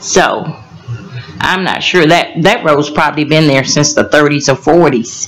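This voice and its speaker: Someone speaks in a Georgia accent at a fairly slow pace. Music plays in the background. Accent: US South (Georgia). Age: 60s. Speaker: resident addressing county board. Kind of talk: public comment at council meeting.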